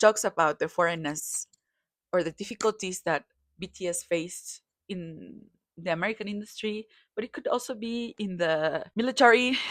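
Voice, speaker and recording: This woman speaks in a Spanish accent. Her pace is moderate. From Mexico. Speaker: kpop commentator. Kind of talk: casual commentary. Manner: halting, self-correcting.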